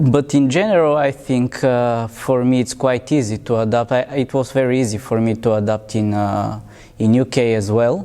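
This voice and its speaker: A man's medium-pitched voice with a Bulgarian accent, a dark, mellow tone, ordinary pitch variation and a fairly slow pace. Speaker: interviewee, migrant. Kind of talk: interview answers. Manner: halting.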